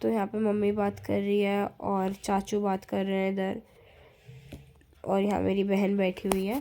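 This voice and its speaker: A woman at a fairly slow pace, her intonation monotone and flat. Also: medium pitch for a woman, very even loudness. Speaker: vlogger. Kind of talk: casual vlog narration. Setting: balcony.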